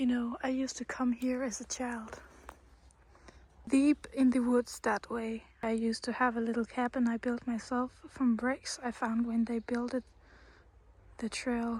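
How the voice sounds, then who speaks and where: A soft-spoken woman talks at a high pitch in a relaxed tone, with monotone, flat intonation. Her pace is fairly slow, with long, frequent pauses. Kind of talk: ASMR nature walk, soft-spoken rambling to camera. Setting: outdoors in a forest. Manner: soft-spoken, relaxed.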